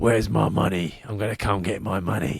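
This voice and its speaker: A man's fairly low put-on character voice at a fairly quick pace, with ordinary pitch variation. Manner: threatening.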